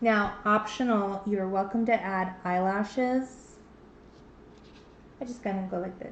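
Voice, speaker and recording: Speaking in a medium pitch with fairly even intonation, a woman leaves long, frequent pauses and her loudness swings widely, with audible room echo around her. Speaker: painting instructor. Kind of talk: tutorial. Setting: livestream.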